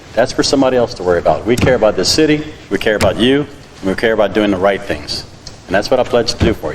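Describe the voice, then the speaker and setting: The pace of this man's speech is very fast, and his pitch varies in an ordinary way. There is noticeable background noise behind him. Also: medium pitch for a man. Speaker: city council candidate. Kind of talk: candidate forum answer. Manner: loud.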